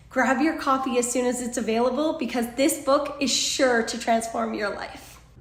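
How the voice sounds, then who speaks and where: In a Canadian accent, fairly even intonation, hardly any pauses, noticeable background noise. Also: woman, high pitch for a woman, moderate pace. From British Columbia, Canada. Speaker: author. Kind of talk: promotional pitch.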